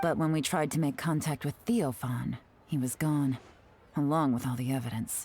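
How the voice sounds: In a put-on character voice, a woman speaks at an extremely low pitch and a moderate pace, with ordinary pitch variation, a slightly husky edge and a slightly mellow tone.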